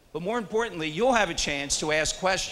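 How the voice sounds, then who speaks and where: A man at a fairly quick pace, lively intonation, audible room echo. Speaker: radio talk show host. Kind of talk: live event hosting. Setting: stage with audience. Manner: loud.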